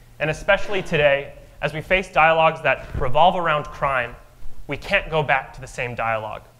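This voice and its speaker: The man's voice has a fairly high pitch and a bright, sharp tone. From Albuquerque, New Mexico. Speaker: mayoral candidate. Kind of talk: candidate opening statement at a forum. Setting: stage with audience.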